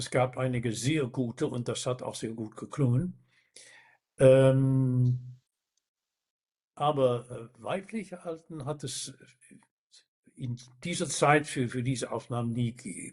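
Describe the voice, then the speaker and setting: At a very slow pace with long, frequent pauses, the somewhat breathy voice shows ordinary pitch variation. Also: man, medium pitch for a man. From Netherlands. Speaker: baritone singer. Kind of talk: interview answer.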